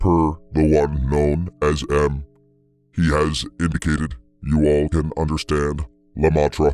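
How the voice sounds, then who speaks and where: A man's put-on character voice, very deep and low, flat and monotone, at a fairly slow pace. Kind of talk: machine speech. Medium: read story. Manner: terse, clinical, monotone.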